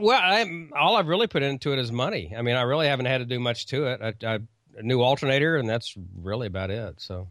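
A man with an American accent talks at a very fast pace, his pitch medium for a man. His pitch swings very widely. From Oklahoma. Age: 50s. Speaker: radio commercial producer and ham radio news presenter. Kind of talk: casual interview chat. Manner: hesitant, many fillers and repetitions.

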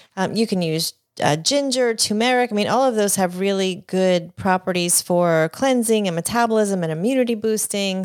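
A medium-pitched woman with an American accent at a moderate pace, in a very clean recording with a silent background. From New York and New Jersey (Staten Island, then New Jersey from 13). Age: 50s. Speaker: divorce and wellness coach. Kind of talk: interview.

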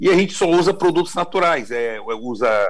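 This man speaks at a fairly slow pace. His pitch swings very widely. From Espírito Santo, Brazil. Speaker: chocolate company CEO. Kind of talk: interview. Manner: halting.

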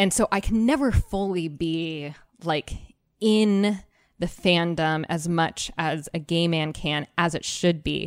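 Speaking very slowly, a woman uses a General American accent. Her pitch is fairly low, and the recording is very clean with a silent background. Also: ordinary pitch variation. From Arizona. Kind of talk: casual chat. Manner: animated.

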